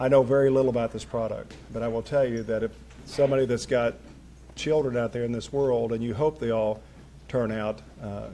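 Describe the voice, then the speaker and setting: With an Appalachian accent, a man speaks at a medium pitch and a fairly quick pace with fairly even intonation. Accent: Appalachian Kentucky. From Kentucky mountains. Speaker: local official hosting event. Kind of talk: public speech. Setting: city hall with audience.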